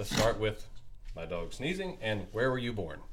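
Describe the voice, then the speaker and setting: A man in a plain, everyday voice keeps to a moderate pace. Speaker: podcast host. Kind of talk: casual interview.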